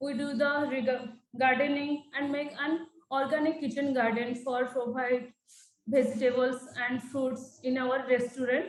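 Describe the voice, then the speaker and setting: High-pitched female speech, fairly slow and monotone with flat intonation. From India (Odisha). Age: 20s. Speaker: youth trainee at an NGO. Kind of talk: testimony. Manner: halting.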